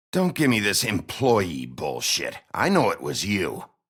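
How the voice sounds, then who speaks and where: A man does a put-on character voice, growling at a fairly low pitch. He keeps to a fairly slow pace. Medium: video game. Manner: gruff, terse.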